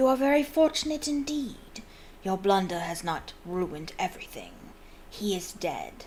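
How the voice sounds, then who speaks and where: A woman in a put-on character voice speaks at a moderate pace with a medium pitch and very wide pitch swings, over clear background noise. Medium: read story. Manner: cold, menacing.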